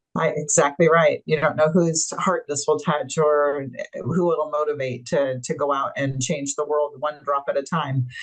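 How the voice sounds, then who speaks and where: Speech at a moderate pace, with hardly any pauses, runs over noticeable background noise. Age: 60s. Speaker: webinar host. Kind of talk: casual interview chat; closing remarks to audience.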